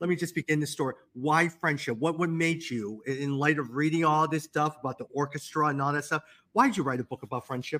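A man with an American accent, fairly high pitch, bright, sharp tone and ordinary pitch variation, at a fairly quick pace with hardly any pauses, in a dry, close sound with no echo. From US, Chicago. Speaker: podcast host. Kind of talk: casual interview chat. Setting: video call.

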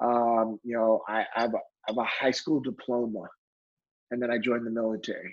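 At a fairly quick pace, a man with an American accent talks in a medium pitch. His intonation is monotone and flat. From California. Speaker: former Navy SEAL and leadership speaker. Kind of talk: casual interview chat. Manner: stutters at times, mixes words.

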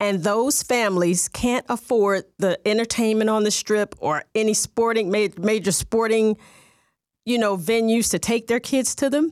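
A woman's voice at a moderate pace, with ordinary pitch variation and very even loudness, in a dry, close sound with no echo on a very clean recording with a silent background. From US Midwest, Southern Illinois near St. Louis. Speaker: football fan, fan of the year. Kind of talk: interview, casual chat. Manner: animated.

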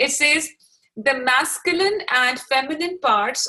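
In a bright, sharp tone, a woman speaks with a raised, projected voice. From Pakistan. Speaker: podcast host. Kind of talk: casual interview.

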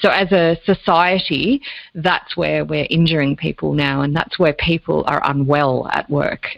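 A woman with an Australian accent speaks at a fairly slow pace in a very deep, low pitch with fairly even intonation. The sound is dry and close with no echo. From Australia, Lake Macquarie area (New South Wales). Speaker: business coach and leadership consultant. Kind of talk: interview.

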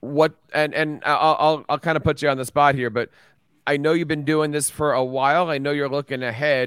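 Talking at a fairly quick pace, a man with a fairly high pitch keeps a monotone, flat intonation in a dry, close sound with no echo. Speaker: podcast host. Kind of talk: casual interview hosting.

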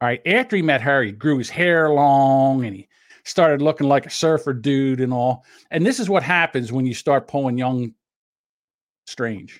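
A man's fairly high-pitched voice, an ordinary speaking voice with ordinary pitch variation, at a moderate pace in a very clean recording with a silent background. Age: 60s. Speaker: podcast co-host. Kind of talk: casual chat.

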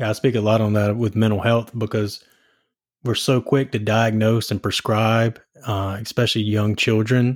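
A man with an American accent at a medium pitch and moderate pace, monotone and flat in intonation, on a very clean recording with a silent background. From US South. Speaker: podcast host. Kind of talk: casual interview conversation.

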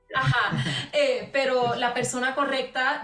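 Music plays in the background as a woman talks with audible room echo. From Puerto Rico. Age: young. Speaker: singer. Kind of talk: casual interview.

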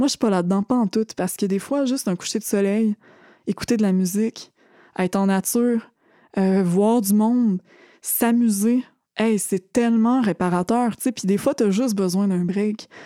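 A woman at medium pitch with a dark, mellow tone, moderate pace, fairly even intonation and very even loudness, in a dry, close sound with no echo and a very clean recording with a silent background. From Quebec, Thetford Mines region. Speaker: activist and survivor. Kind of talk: testimony. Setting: studio.

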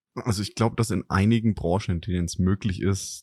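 This man talks at a fairly quick pace with a dark, mellow tone and fairly even intonation, the sound dry and close with no echo. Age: middle-aged. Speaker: podcast host, business consultant. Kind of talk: casual chat.

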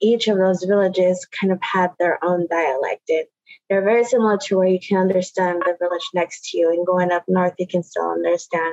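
A woman with an American accent speaks in a plain, everyday voice at a medium pitch with fairly even intonation. Her loudness stays very even, and the sound is dry and close with no echo. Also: moderate pace. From Puget Sound, Washington (Muckleshoot). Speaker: Native language teacher. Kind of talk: interview.

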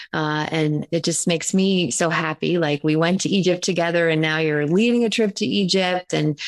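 A woman has an unremarkable speaking voice, fairly low in pitch. Her pitch variation is ordinary. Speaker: spiritual business coach and channeler. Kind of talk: guided meditation. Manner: soft, slow, soothing, ceremonial.

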